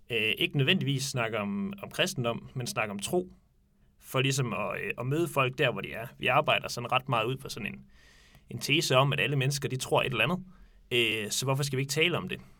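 A man's bright, sharp voice at medium pitch, with ordinary pitch variation and a fairly quick pace, on a very clean recording with a silent background. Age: 20s. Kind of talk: casual discussion. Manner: hesitant, many fillers.

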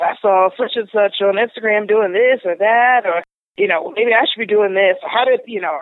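A woman talks with an American accent and a normal speaking voice. Her pitch sits at a medium level. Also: ordinary pitch variation, moderate pace. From Pittsburgh, US. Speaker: podcast guest. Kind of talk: casual interview conversation.

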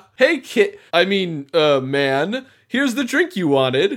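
Using a put-on character voice, a man speaks high for a man at a fairly slow pace, his pitch swinging very widely. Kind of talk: game master character voice. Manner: pushy, smarmy host.

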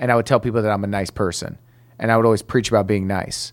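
A man with an American accent speaks in an ordinary speaking voice, medium in pitch, with fairly even intonation. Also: very clean recording, silent background. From Detroit, Michigan. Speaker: comedian. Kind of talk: casual chat.

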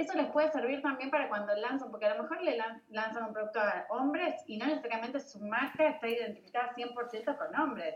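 Speaking fairly quickly in a Rioplatense accent, a woman with high pitch and ordinary pitch variation is heard over noticeable background noise. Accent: Argentine Rioplatense Spanish. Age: 40s. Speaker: digital launch expert and event organizer. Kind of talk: casual interview chat.

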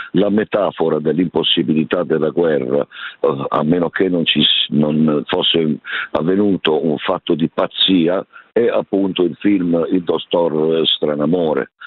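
A man with a very deep, low pitch speaks at a fairly slow pace. His intonation is fairly even and his loudness very even. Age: 70s. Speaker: association president. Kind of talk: phone interview. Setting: phone call. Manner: formal.

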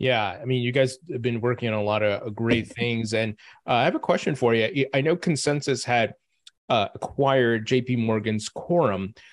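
He has an ordinary speaking voice, pitched in the medium range for a man. His pace is moderate and his pitch variation ordinary. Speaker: podcast host. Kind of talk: casual interview.

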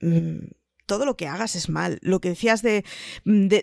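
Recorded with a dry, close sound and no echo, a woman speaks in a Spanish accent. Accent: Spanish (Spain). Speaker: podcast panelist. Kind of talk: casual chat.

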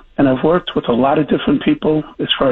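Noticeable background noise sits behind a man's fairly high voice. He speaks at a fairly quick pace. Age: 60s. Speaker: former police chief. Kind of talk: interview.

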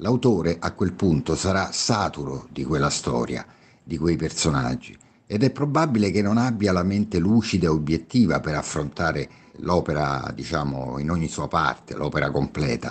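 A man talks at a moderate pace. His pitch is very deep and low, with vocal fry. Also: lively intonation. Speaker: author. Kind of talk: podcast discussion.

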